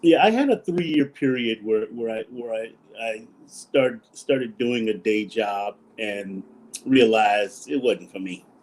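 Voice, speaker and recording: At a fairly slow pace, a man speaks in a plain, everyday voice of medium pitch with ordinary pitch variation. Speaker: actor, stand-up comedian, event host, auctioneer. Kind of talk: interview answer. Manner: casual, conversational, humorous.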